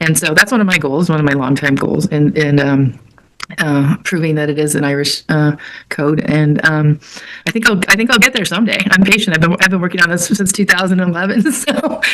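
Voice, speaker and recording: A woman talks at a fairly quick pace with lively intonation. Noticeable background noise runs under her voice. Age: 60s. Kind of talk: live web event discussion. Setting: live web event.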